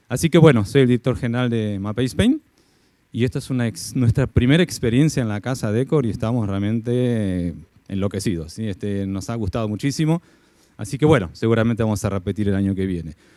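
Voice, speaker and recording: Very fast and in an Argentine accent, a man speaks with a dark, mellow tone and ordinary pitch variation. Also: medium pitch for a man, very clean recording, silent background. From Argentina. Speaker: company executive. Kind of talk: event presentation.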